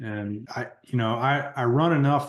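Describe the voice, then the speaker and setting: A man speaks at a medium pitch with a plain, everyday voice. His pace is moderate and his intonation fairly even. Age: 40s. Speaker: podcast host. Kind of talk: podcast interview.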